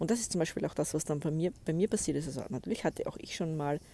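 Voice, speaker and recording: Her tone is dark and mellow. The woman speaks at a very deep, low pitch. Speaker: podcast host and spiritual coach. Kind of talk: solo podcast monologue. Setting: outdoors by a lake.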